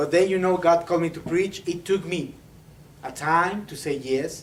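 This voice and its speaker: In a Mexican accent, the speaker goes at a fairly slow pace with audible room echo. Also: man. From Mexico, Saltillo (northern Mexico). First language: Spanish. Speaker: preacher, seminary student. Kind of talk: sermon. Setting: church. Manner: halting, many fillers and repetitions.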